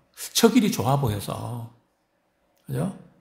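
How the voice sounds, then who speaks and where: Vocal fry and very wide pitch swings ring out with audible room echo. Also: man. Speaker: pastor. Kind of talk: sermon. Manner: frequent fillers and rhetorical questions.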